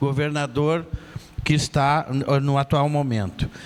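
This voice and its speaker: The delivery moves at a fairly slow pace. It is a normal speaking voice. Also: man. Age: 60s. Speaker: city councillor. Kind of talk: public hearing speech. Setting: public hearing in neighborhood.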